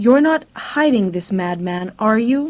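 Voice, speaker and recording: A woman puts on a character voice with a fairly high pitch and very wide pitch swings. She speaks at a fairly slow pace. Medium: read story.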